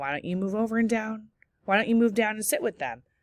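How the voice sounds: Someone rattles off lines at a very fast pace in a put-on character voice with a fairly high pitch.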